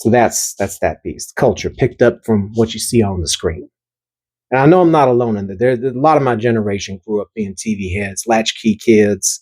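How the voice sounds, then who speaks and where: The speaker has a slight Southern US accent and talks at a fairly quick pace with ordinary pitch variation. The very clean recording has a silent background and a dry, close sound with no echo. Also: man, medium pitch for a man. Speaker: artist and video creator. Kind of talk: casual talk about own artwork. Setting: at home, recorded at night. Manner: halting, repeats words; loud.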